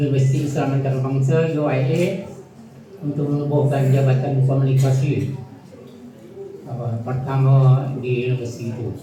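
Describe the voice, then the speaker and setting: The recording carries audible room echo and noticeable background noise. A man speaks at a medium pitch, fairly slowly, in a monotone, flat way. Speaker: retired professor. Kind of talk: formal speech at a reunion.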